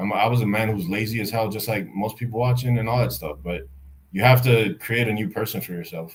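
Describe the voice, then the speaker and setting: Very fast, somewhat breathy speech with ordinary pitch variation. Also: man, fairly low pitch for a man. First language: Spanish. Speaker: YouTuber. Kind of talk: casual chat.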